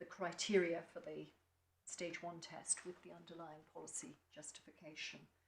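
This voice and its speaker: With an English accent and vocal fry, a woman speaks at a moderate pace in a fairly low pitch and a monotone, flat intonation, with audible room echo. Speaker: barrister. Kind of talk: courtroom legal argument. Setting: courtroom.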